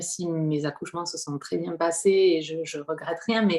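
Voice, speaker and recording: A woman's fairly low voice in a southern French accent, at a moderate pace with fairly even intonation. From southwestern France, Hautes-Pyrénées. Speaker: prenatal singing practitioner. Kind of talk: interview. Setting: home living room. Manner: hesitant, many fillers.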